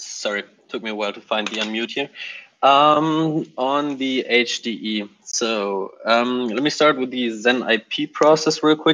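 A man talks at a fairly slow pace with ordinary pitch variation. Light background noise sits behind him. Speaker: software developer. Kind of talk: team meeting update. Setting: video call. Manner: hesitant, many fillers. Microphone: video call.

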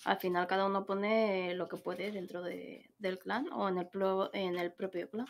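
With a Madrid accent, a woman speaks at a fairly slow pace and with fairly even intonation. Light background noise can be heard. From Madrid, Spain; Spain. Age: 30s. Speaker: gamer. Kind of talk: casual chat. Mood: frank, slightly annoyed. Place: home room.

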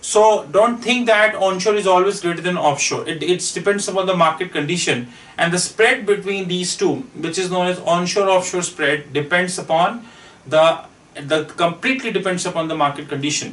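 A man with a high-pitched voice talks at a moderate pace with ordinary pitch variation. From India. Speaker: finance consultant; finance trainer. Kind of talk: lecture. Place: classroom. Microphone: camera far.

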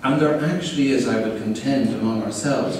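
A man with an Irish accent, strong room echo and light background noise. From Ireland. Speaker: keynote speaker. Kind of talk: keynote lecture. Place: hall. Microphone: camera far.

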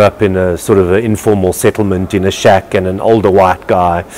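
A man with an unremarkable speaking voice talks at a moderate pace, his pitch fairly low. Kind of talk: interview answer. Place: hall. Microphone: lapel.

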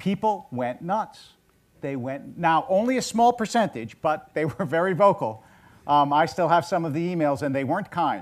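A man at a high pitch with very wide pitch swings and a moderate pace. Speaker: rabbi. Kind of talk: onstage interview. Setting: stage with audience. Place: stage.

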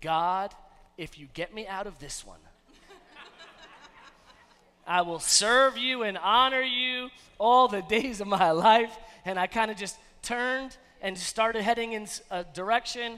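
A man's raised, projected voice at a fairly slow pace, with big swings in loudness, ordinary pitch variation and long, frequent pauses. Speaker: pastor. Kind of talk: sermon. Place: church. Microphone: headset.

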